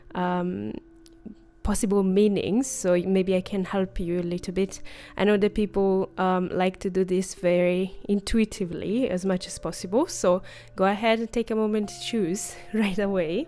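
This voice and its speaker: In a very clean recording with a silent background, a woman with a non-native accent speaks in a dark, mellow tone with fairly even intonation. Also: medium pitch for a woman, moderate pace. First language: not English. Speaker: tarot reader, spiritual content creator. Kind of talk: casual tarot reading video. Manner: hesitant, many fillers.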